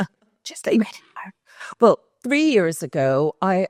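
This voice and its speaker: A woman's fairly low voice, dry and close with no echo, in a very clean recording with a silent background. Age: 60s. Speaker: patient. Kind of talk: testimony.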